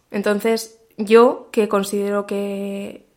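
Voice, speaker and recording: The speaker is a woman with a medium pitch. Her intonation is monotone and flat. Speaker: marketing director and podcaster. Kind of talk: interview.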